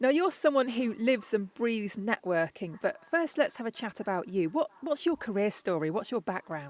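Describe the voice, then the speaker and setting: Hardly pausing, a woman speaks with fairly high pitch and very wide pitch swings. Her sound is dry and close with no echo. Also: moderate pace. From England. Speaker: voice actor. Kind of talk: podcast host interview.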